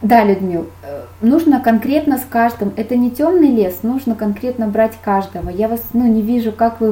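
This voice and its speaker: Speaking at a moderate pace, a woman with an ordinary speaking voice shows fairly high pitch and ordinary pitch variation. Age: 30s. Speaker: makeup artist. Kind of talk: webinar lecture. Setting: online webinar.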